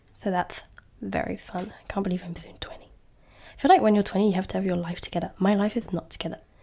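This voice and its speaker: Talking at a very fast pace with a southern English accent, a woman of medium pitch sounds somewhat breathy and dark, mellow in tone, with fairly even intonation and big swings in loudness. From England, near London. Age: 20s. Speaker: podcast host. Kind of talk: casual chat.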